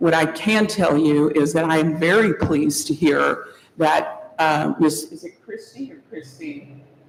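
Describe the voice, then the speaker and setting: Big swings in loudness mark this voice with an American accent, heard over noticeable background noise. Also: woman, fairly slow pace. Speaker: public commenter at county meeting. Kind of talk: public comment.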